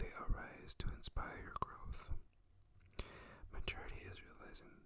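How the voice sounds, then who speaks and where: A man whispering at a fairly slow pace. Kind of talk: poetry reading. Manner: whispered, soft.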